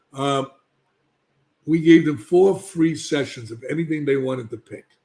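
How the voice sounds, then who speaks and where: A man's somewhat breathy voice with a New York accent, fairly high in pitch, with a dark, mellow tone, a moderate pace and ordinary pitch variation. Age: 70s. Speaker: addiction treatment expert. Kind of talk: podcast interview. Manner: emphatic.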